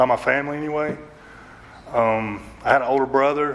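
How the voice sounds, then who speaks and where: Against noticeable background noise, a man with a strong Southern US accent and a medium pitch speaks at a moderate pace in a monotone, flat intonation. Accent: strong Southern country. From North Georgia, US. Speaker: recovery speaker. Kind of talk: recovery testimony. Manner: halting, many fillers.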